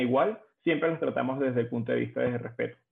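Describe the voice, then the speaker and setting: A man's voice with music in the background. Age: 20s. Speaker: HR recruiter. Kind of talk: interview. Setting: podcast recording.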